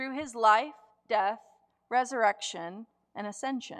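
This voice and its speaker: A woman speaks very slowly in an American accent. Her pitch varies in an ordinary way. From US South, Gulf Coast of Florida. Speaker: preacher. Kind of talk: Advent Sunday sermon, reflective liturgical preaching from a written text. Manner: measured, cadenced pulpit delivery building through repeated clauses; earnest and deliberate, emphatic stress on contrasts.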